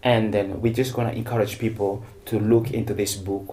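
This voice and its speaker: Fairly low, somewhat breathy male voice, dark and mellow in tone, flat and monotone at a fairly quick pace, with audible room echo. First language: not English; speaks French, Swahili, Lingala, Bemba. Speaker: TV interview host. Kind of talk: interview. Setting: studio.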